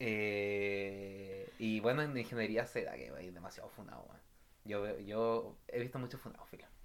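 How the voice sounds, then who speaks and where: A man speaks with a Chilean accent at a fairly low pitch and a fairly slow pace. His loudness swings widely. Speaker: podcast co-host. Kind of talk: casual chat.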